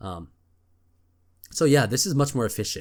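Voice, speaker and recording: Very clean recording, silent background, and a man at a moderate pace with lively intonation. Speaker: gaming video creator. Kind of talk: gameplay commentary. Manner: casual, filler-heavy.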